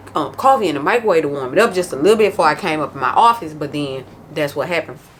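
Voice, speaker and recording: Over noticeable background noise, a woman speaks very fast in a very deep, low voice, her tone animated and her intonation lively. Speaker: planner vlogger. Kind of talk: casual vlog chat. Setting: home office. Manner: loud.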